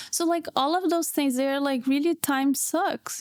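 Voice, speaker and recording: A woman with a Portuguese accent and fairly even intonation. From Brazil. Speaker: PhD student. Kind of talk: casual chat.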